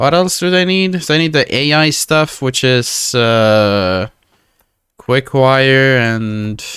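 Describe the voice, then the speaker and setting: A man at a medium pitch, very slow pace, lively intonation and very even loudness. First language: Finnish. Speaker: video game streamer. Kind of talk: live gameplay commentary. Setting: live stream.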